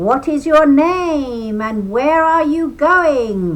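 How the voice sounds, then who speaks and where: A put-on character voice, high-pitched and growling, at a very slow pace. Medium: read story. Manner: growling, sly.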